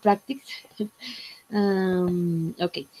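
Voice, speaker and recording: Speaking at a very slow pace, a woman uses a dark, mellow tone at medium pitch. Her intonation stays fairly even. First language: Spanish. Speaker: English student. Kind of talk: class presentation. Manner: halting.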